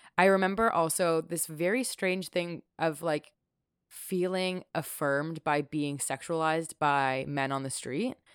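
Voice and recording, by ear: A woman speaks at a fairly slow pace with a Canadian accent, her pitch fairly low and its variation ordinary. The recording is very clean with a silent background, and the sound is dry and close with no echo.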